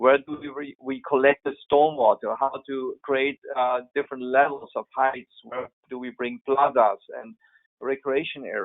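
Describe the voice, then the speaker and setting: With a German accent, a man at a fairly high pitch speaks at a moderate pace in a monotone, flat intonation, his loudness swinging widely. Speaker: landscape architect. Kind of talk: webinar Q&A. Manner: halting.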